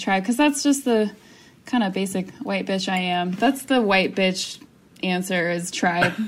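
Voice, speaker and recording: Using a normal speaking voice, a woman talks at a medium pitch, her pitch varying in an ordinary way. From US South. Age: 20s. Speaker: navy public affairs worker. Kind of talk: casual chat.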